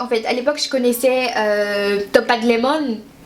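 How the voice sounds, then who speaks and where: A woman's high-pitched voice sounds through noticeable background noise. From Haiti, moved to France at six or seven. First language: Haitian Creole (speaking French). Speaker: beauty youtuber. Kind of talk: casual vlog chat. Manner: chatty, lots of hesitations.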